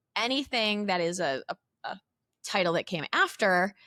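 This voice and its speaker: A woman in a Chicago accent speaks at a medium pitch with ordinary pitch variation and a bright, sharp tone. The recording is very clean with a silent background and a dry, close sound with no echo. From Chicago suburbs, Illinois. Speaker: company CEO, former teacher. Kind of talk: casual interview chat.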